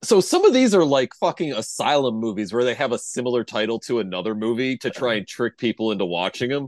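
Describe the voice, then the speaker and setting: Very fast and with hardly any pauses, a man talks at a medium pitch with lively intonation. The sound is dry and close with no echo, over a quiet background. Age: 30s. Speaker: podcast co-host. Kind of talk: casual chat.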